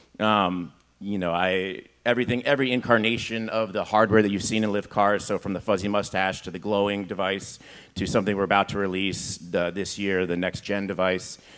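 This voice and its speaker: Fairly low-pitched male speech at a fairly quick pace, on a very clean recording with a silent background. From US West Coast, San Francisco Bay Area. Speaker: tech executive. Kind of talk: panel discussion. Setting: stage with audience.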